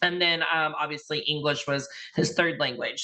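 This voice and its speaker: A woman with an American accent, a very deep, low pitch, a bright, sharp tone, fairly even intonation and a moderate pace. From Indiana, US. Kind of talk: invited talk. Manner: hesitant, many fillers.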